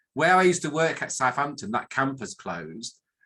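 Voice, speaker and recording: With a northern English accent, a man speaks in a bright, sharp tone that makes very wide pitch swings. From northern England. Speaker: academic statistician, professor. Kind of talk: presentation talk. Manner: hesitant with many fillers.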